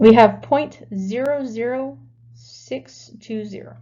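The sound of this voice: Slow pace and a dark, mellow tone, with ordinary pitch variation. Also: woman, fairly high pitch for a woman.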